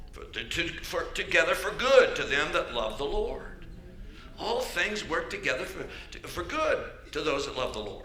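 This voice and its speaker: A man with an American accent, amid noticeable background noise. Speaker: bishop, church preacher. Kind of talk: sermon delivered to a congregation.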